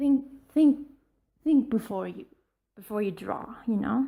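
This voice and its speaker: A woman speaks at a fairly slow pace in a high pitch with a dark, mellow tone and a non-native accent. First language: not English. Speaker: art vlogger. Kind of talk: casual tutorial. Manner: halting, stammering.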